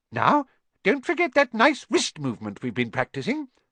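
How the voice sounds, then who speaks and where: A man uses a put-on, squeaky character voice with a high pitch. He talks at a moderate pace, and the sound is dry and close with no echo. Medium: read story. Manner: cheerful, encouraging.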